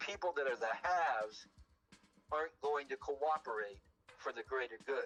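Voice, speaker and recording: Music in the background behind a man with an American accent. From Southern California, Long Beach. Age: 70s. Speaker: podcast guest. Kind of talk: casual chat. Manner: halting, with frequent restarts.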